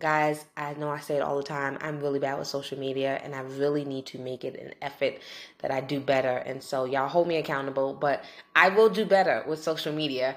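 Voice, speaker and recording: Speaking at a fairly quick pace, a woman uses a very deep, low pitch with big swings in loudness. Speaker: podcast host. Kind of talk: casual podcast chat. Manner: animated, enthusiastic.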